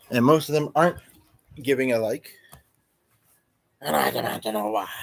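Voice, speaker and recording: A man's put-on character voice, raspy, medium-pitched and at a fairly quick pace. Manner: funny voice, joking.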